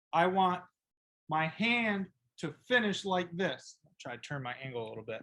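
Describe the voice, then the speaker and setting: This man speaks loudly with an American accent and a high pitch. His pace is fairly slow. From upstate New York. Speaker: football coach. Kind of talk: tutorial. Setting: video call. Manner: animated.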